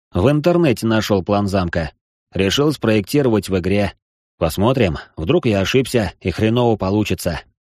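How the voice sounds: In a quiet setting, someone reads in a natural voice.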